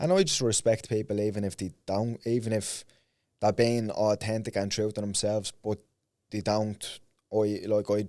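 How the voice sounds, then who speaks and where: On a very clean recording with a silent background, a man speaks at a fairly low pitch in a dark, mellow tone. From Ireland, Dublin north inner city. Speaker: professional MMA fighter and podcaster. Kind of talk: casual podcast interview.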